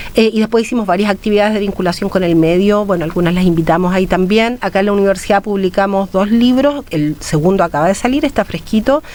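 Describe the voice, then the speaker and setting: Over noticeable background noise, a woman at medium pitch talks at a very fast pace with hardly any pauses, very even loudness and ordinary pitch variation. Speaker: academic researcher. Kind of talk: radio interview.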